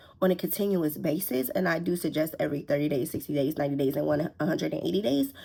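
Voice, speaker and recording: A woman speaks in an animated tone. Vocal fry runs through her voice. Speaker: lifestyle content creator. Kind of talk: motivational vlog tutorial. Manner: fast.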